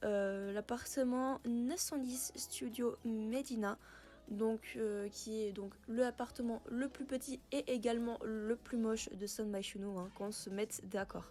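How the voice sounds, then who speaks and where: A woman speaks at a very slow pace. Her tone is dark and mellow, her intonation fairly even. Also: fairly high pitch for a woman. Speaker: gaming youtuber. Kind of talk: gameplay commentary. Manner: hesitant, many filler words.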